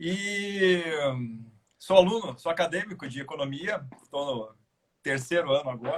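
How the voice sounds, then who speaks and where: Using a high pitch and lively intonation, a man speaks with big swings in loudness and long, frequent pauses. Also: moderate pace. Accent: Paraná. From Curitiba, Paraná, southern Brazil. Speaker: labor judge and law lecturer, guest. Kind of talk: live video discussion. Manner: hesitant, repeats words.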